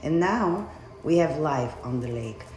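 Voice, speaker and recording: Music plays in the background. The speaker talks at a fairly slow pace with a Bulgarian accent. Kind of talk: spoken word monologue.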